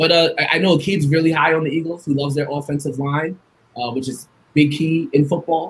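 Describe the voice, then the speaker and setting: A somewhat breathy man with an American accent at a fairly quick pace. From Long Island, New York. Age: 30s. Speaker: sports journalist and podcaster. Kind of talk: casual sports talk show interview.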